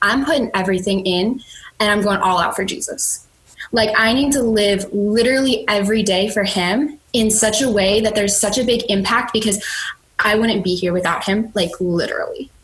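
A woman with an American accent speaks at a moderate pace and a fairly high pitch, with ordinary pitch variation. Her loudness stays very even, and there is noticeable background noise. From Chicago. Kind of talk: testimony.

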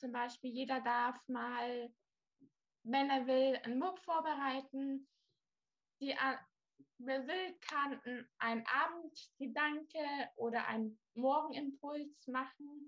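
A woman with a high pitch speaks at a very slow pace. Her intonation is fairly even, and she leaves long, frequent pauses. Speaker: volunteer. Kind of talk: casual chat.

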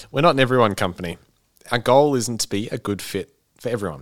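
The voice moves at a moderate pace with ordinary pitch variation, and the sound is dry and close with no echo on a very clean recording with a silent background. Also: man. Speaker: podcast co-host. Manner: reads aloud with passion.

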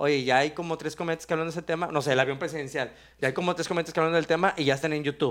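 This man talks at a very fast pace, his fairly high pitch held in fairly even intonation. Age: 30s. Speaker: podcast host. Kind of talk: casual chat.

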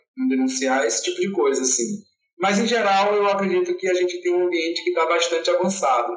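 A man's high-pitched, very fast speech with lively intonation and very even loudness. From Salvador, Bahia, Brazil. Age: 30s. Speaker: LGBT activist and fan group founder. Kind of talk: interview.

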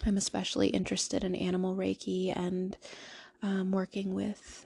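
Her tone dark and mellow, a woman speaks at medium pitch with monotone, flat intonation. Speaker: podcast host. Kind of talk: solo monologue. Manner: halting.

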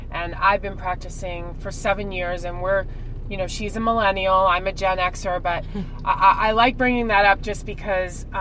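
A woman speaks at a moderate pace and a medium pitch, her intonation monotone and flat, with noticeable background noise. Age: 40s. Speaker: podcast co-host. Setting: car. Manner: loud, a shouter; loud, shouting into the mic.

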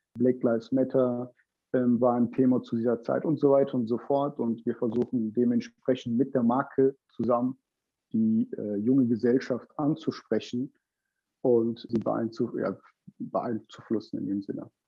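The man has a medium pitch and a flat, monotone delivery at a fairly slow pace. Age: 20s. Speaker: startup founder. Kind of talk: interview. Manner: halting, many fillers.

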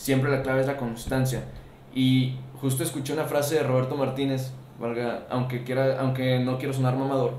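In a Mexican accent, a man at medium pitch speaks at a moderate pace in a flat monotone, with audible room echo and noticeable background noise. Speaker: podcast host. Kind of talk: casual chat.

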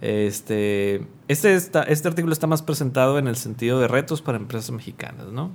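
A man's medium-pitched, ordinary speaking voice at a moderate pace, with ordinary pitch variation. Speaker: podcast co-host. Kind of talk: casual chat.

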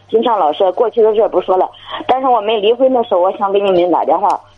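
Noticeable background noise fills the recording. Through it, a woman talks very fast. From Heze, Shandong, China. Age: 30s. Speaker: caller. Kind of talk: call-in advice. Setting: phone call.

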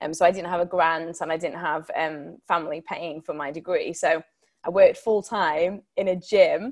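A woman talks in a Yorkshire accent at a moderate pace. Her pitch sits fairly low. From Sheffield, Yorkshire. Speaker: TV broadcaster and campaigner. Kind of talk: guest talk with Q&A.

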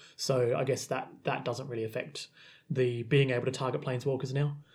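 This man has an Australian accent, a dark, mellow, somewhat breathy tone, medium pitch, fairly even intonation and a fairly quick pace. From South Australia. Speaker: podcast host and committee member. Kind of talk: casual chat podcast discussion.

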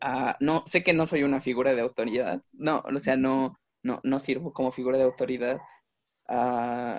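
Against a quiet background with a dry, close sound and no echo, a man with a plain, everyday voice speaks at a medium pitch and moderate pace, his intonation fairly even. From Mexico. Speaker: visual artist. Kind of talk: casual chat.

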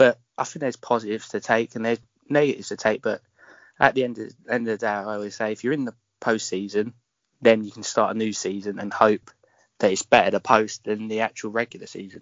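A man speaks with a London accent. His pace is very fast and his intonation fairly even. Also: medium pitch for a man, big swings in loudness. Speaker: fan page admin. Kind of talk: interview.

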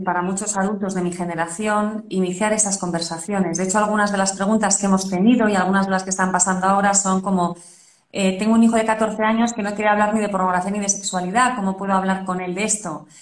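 A woman speaks at a very fast pace with hardly any pauses, her intonation monotone and flat. Audible room echo and noticeable background noise surround her. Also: medium pitch for a woman. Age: 40s. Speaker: parenting podcast host. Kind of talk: interview.

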